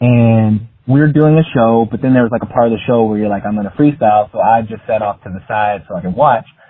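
A man talks at a medium pitch with ordinary pitch variation. He has an ordinary speaking voice. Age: 30s. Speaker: friend of the host. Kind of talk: recorded voice message.

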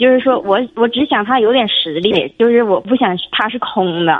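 The delivery keeps a moderate pace with ordinary pitch variation. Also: woman. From Jilin, northeast China. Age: 30s. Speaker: caller. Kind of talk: phone call-in. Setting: phone call. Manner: halting.

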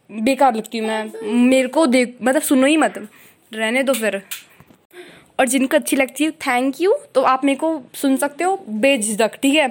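The woman's pitch is high, with ordinary variation. She talks at a moderate pace. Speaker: podcaster. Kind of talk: casual monologue. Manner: halting.

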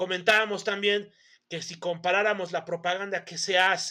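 A man at a moderate pace with a bright, sharp tone. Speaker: podcast host. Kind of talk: casual chat.

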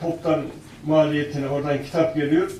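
A man's fairly high, monotone, flat delivery at a moderate pace, with audible room echo and noticeable background noise. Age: 70s. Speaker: author and researcher. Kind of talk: panel talk.

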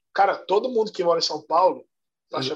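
A man at a fairly quick pace. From Salvador, Bahia, Brazil. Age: 30s. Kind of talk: podcast interview.

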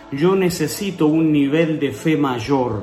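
Over noticeable background noise and audible room echo, a man with an Argentine accent speaks very slowly at a fairly high pitch. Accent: Rioplatense Argentine Spanish. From Buenos Aires, Argentina (southern suburbs). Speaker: pastor. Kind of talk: interview testimony and preaching. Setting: video call.

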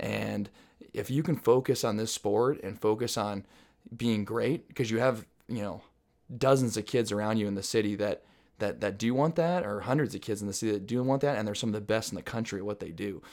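Talking at a fairly quick pace, a man with an American accent uses an ordinary speaking voice with a fairly low pitch and ordinary pitch variation, on a very clean recording with a silent background. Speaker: former high school and college runner. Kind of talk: casual interview. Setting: host's home. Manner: loud.

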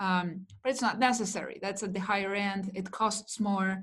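A woman with a Spanish accent, medium-pitched and somewhat breathy, in a flat monotone at a moderate pace. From Chile. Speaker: digital marketing coach. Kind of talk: interview.

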